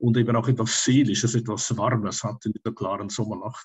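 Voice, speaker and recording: Against a quiet background, a man with a medium pitch and a Swiss German accent sounds somewhat breathy, keeping his intonation fairly even. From Switzerland. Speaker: tarot teacher and astrologer; tarot teacher. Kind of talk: interview. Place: home room. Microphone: webcam.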